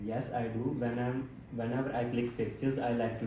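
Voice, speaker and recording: A man with a Punjabi accent speaks at a moderate pace and a medium pitch, his intonation monotone and flat. Audible room echo and noticeable background noise surround him. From Punjab, India (Barnala district). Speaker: IELTS test candidate. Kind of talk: mock speaking exam answers.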